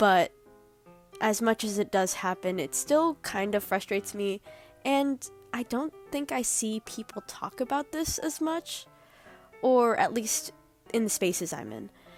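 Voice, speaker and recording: Music plays behind a woman speaking fairly slowly with long, frequent pauses. Her fairly high voice moves through very wide pitch swings. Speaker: digital artist. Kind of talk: casual rant to camera.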